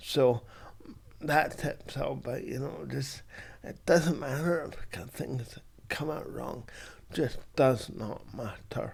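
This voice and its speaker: Here a man speaks at a very slow pace in a fairly high voice. Vocal fry runs through his speech. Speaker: content creator. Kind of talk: casual talk to camera.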